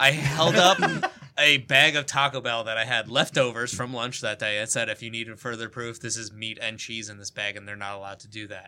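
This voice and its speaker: A man with an American accent talks at a fairly quick pace and a medium pitch, with ordinary pitch variation. He takes hardly any pauses, and his loudness swings widely. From New Jersey (Kearny). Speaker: podcast guest. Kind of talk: casual chat.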